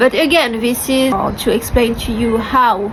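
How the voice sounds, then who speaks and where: Over noticeable background noise and audible room echo, a woman with a French accent speaks at a moderate pace and a fairly high pitch. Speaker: vlogger sharing personal story. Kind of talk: personal testimony to camera. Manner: hesitant, with fillers.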